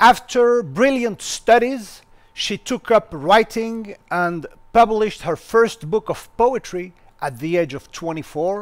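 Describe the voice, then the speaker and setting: With a French accent, a man speaks at a very slow pace in a high pitch and lively intonation. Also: very clean recording, silent background. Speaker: university lecturer and interviewer. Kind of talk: interview introduction.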